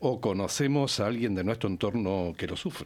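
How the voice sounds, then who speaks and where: This man's pitch swings very widely as he talks at a moderate pace. The recording is very clean, with a silent background. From Uruguay. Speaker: community radio interviewer. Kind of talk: interview. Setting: radio studio.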